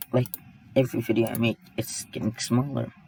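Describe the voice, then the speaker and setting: There is noticeable background noise behind this man. He speaks at a moderate pace. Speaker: 3D software tutorial creator. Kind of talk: tutorial. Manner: casual, halting.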